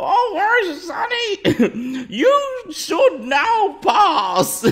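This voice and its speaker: Over light background noise, a put-on character voice crawls along at a very slow pace with very wide pitch swings. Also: man, extremely high pitch for a man. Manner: scary.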